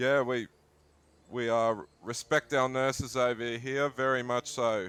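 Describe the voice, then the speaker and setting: With an Australian accent, a man at a medium pitch speaks at a fairly slow pace in a monotone, flat intonation at very even loudness. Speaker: gaming streamer. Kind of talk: casual chat.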